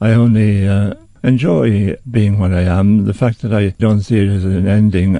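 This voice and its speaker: A man speaks at fairly low pitch with fairly even intonation. His tone is dark and mellow. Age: 70s. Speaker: elderly healer interviewed in documentary. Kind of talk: reflective interview. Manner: halting, with hesitations.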